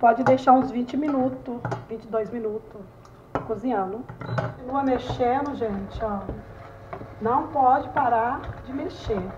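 Speaking at a very slow pace with long, frequent pauses, a woman keeps a high pitch and fairly even intonation. Noticeable background noise is present. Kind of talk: cooking tutorial chat. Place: kitchen. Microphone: phone near.

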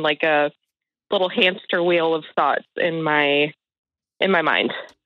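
A woman talks at a moderate pace. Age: 30s. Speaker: caller seeking advice. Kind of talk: phone-in conversation. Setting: phone call. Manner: hesitant, filler-heavy; smiling, laughing while talking.

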